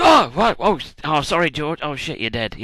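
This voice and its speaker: A man puts on a rumbling character voice at a fairly high pitch. He keeps a moderate pace with lively intonation. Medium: solo performance. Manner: grumbling, casual swearing.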